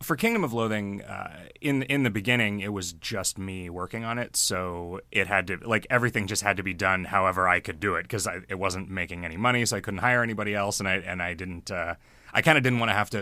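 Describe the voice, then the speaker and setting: Over a silent background in a very clean recording, a man with a fairly low pitch and a bright, sharp tone speaks very fast with ordinary pitch variation. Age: 40s. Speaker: game developer. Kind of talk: interview.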